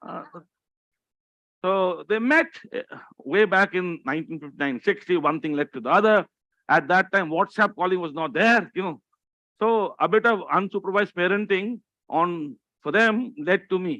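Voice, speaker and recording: A man's raised, projected voice, high in pitch and bright and sharp in tone, at a moderate pace with long, frequent pauses. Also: ordinary pitch variation, dry, close sound with no echo. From Delhi, India. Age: 60s. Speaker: motivational speaker. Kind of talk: motivational talk.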